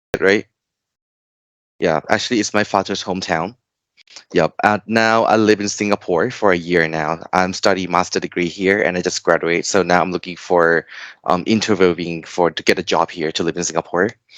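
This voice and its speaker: Speaking with a Thai accent, a man uses a very deep, low pitch and fairly even intonation, the sound dry and close with no echo. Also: moderate pace. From Thailand. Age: 30s. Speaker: tutor. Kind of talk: online tutoring lesson. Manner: halting.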